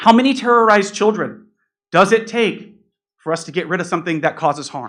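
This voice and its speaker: Against a quiet background, a man talks fairly quickly in a high pitch, his intonation lively and his loudness swinging widely. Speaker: public commenter at school board meeting. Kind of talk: public comment.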